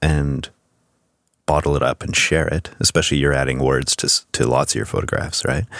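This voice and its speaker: In a dry, close sound with no echo, a man with a very deep, low pitch talks at a fairly quick pace. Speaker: podcast host. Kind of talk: casual chat. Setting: studio.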